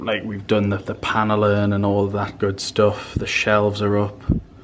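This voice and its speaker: Amid noticeable background noise and audible room echo, a man talks in a fairly low pitch. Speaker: vlogger. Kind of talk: casual vlog chat.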